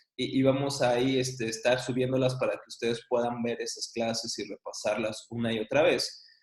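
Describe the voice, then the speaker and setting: Fairly high male voice, moderately paced, with noticeable echo from the room. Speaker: Bible teacher. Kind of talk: online class lecture.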